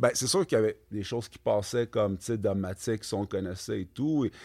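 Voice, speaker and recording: This man has an ordinary speaking voice, pitched fairly low, and talks at a moderate pace. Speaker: clothing brand co-founder. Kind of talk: casual interview chat.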